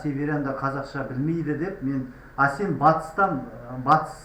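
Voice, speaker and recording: A man's fairly high voice at a moderate pace, with audible room echo and noticeable background noise. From Kazakhstan, Kostanay. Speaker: language activist vlogger. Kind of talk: street interview.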